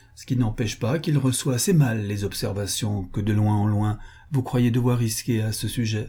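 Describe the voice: What plays here is plain reading aloud.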